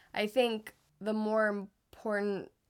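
This is a woman's voice in a very clean recording with a silent background. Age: 20s. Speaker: podcast co-host. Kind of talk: casual chat.

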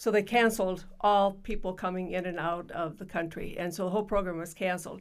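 Delivering her words at a fairly quick pace, a woman speaks with an Upper Midwest accent and fairly even intonation. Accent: Upper Midwest American. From South Dakota (Yankton). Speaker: retired school principal. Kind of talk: interview.

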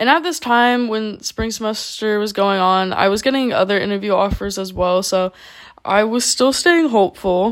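Speaking at a moderate pace, a woman with an American accent has a fairly high pitch and a plain, everyday voice. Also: lively intonation. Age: 20s. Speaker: podcaster. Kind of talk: personal monologue.

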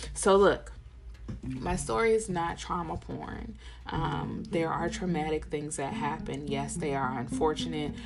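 Noticeable background noise and audible room echo surround a woman talking at a fairly slow pace. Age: 40s. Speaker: podcast host and tattoo artist. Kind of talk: casual monologue.

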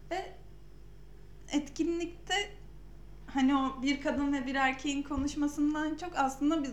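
A woman with a high-pitched voice talks at a fairly slow pace, with audible room echo around her. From Samsun, Turkey. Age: 20s. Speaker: podcast host, UX designer. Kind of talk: casual chat.

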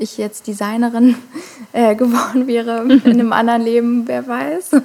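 A woman talks at a moderate pace in a plain, everyday voice with fairly even intonation. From Germany, Hamburg. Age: 20s. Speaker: singer-songwriter. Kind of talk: casual interview.

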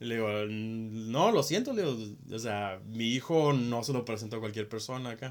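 A man speaks at a medium pitch with a normal speaking voice and ordinary pitch variation. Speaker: podcast co-host. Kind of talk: casual chat.

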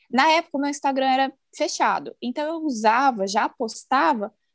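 With a dry, close sound, no echo and a quiet background, a woman speaks in a high pitch with lively intonation. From Brazil, Campo Grande (Mato Grosso do Sul). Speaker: journalist and mom content creator. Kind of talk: casual interview.

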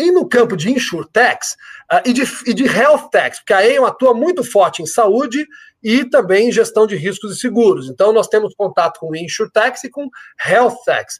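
The voice has an energetic tone with very wide pitch swings. The sound is dry and close, with no echo. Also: man, extremely high pitch for a man, moderate pace. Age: 50s. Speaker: insurance company executive. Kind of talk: interview. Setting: live stream.

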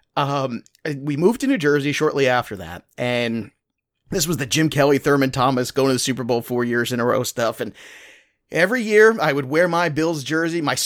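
With an American accent, a man speaks at a fairly quick pace and fairly high pitch, with ordinary pitch variation, in a very clean recording with a silent background. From Brooklyn, New York. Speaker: fantasy sports analyst and author. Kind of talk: casual chat.

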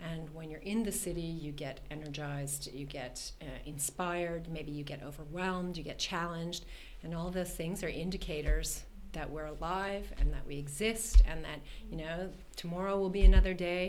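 Fairly low-pitched speech from a woman with a Canadian accent, moderate pace, fairly even intonation, big swings in loudness and audible room echo. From Canada, Toronto. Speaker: art and architecture entrepreneur. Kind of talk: podcast interview.

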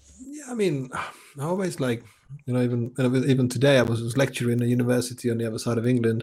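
With a Czech accent and a dark, mellow tone, a man talks at a very fast pace. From Czech Republic. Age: 40s. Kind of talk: interview conversation. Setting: video call. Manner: repetitive false starts.

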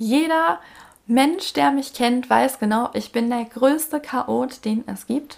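Very slowly, a woman speaks at a high pitch with ordinary pitch variation. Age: 20s. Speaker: podcast host, single mother. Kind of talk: casual monologue.

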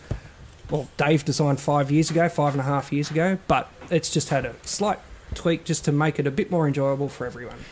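A man with an Australian accent speaks at a fairly quick pace in a fairly high pitch for a man, his intonation fairly even over noticeable background noise. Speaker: beer sales rep. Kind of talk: casual chat.

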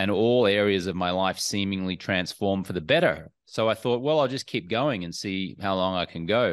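Against a quiet background, a man with an Australian accent speaks at a fairly low pitch and a moderate pace, with ordinary pitch variation and hardly any pauses. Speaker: entrepreneur and alcohol-free coach. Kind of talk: podcast interview.

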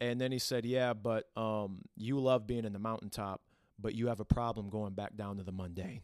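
Speaking with a Midwestern American accent, a man keeps a fairly even intonation at a fairly quick pace in a very clean recording with a silent background. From Toledo, Ohio. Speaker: church worship team member. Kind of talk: faith-based conversation, personal testimony. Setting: at the church.

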